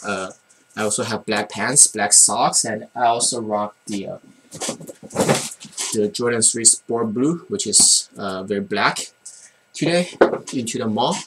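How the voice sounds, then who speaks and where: A man with a Chinese accent at a fairly slow pace. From China. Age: 20s. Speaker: college student sneaker vlogger. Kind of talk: casual vlog. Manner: halting, many fillers and repeats.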